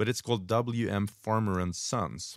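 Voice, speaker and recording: This man's voice sits at a fairly low pitch. His pitch variation is ordinary. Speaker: bartender podcast co-host. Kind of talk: casual chat. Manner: slow.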